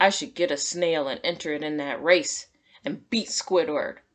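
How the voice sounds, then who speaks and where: A woman growls in a put-on character voice, fairly low in pitch with very wide pitch swings. Her pace is moderate. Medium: read story.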